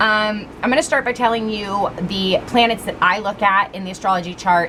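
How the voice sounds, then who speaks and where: A woman speaks at a medium pitch and moderate pace with ordinary pitch variation. Noticeable background noise is present. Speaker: tarot reader. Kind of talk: tarot reading. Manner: loud.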